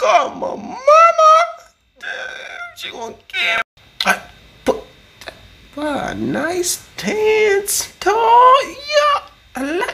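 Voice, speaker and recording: A man puts on a character voice at an extremely high pitch, speaking at a very slow pace with long, frequent pauses. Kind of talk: comedic voiceover for funny animal clips. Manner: excited, exclamatory.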